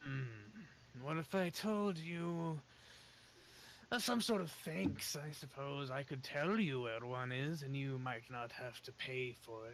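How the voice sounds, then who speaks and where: A man's put-on character voice at a medium pitch, fairly slow, over clear background noise. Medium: actual play. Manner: aloof, dryly sinister.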